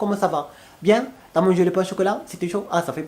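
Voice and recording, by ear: Talking at a very fast pace, a man uses a high pitch. His pitch variation is ordinary.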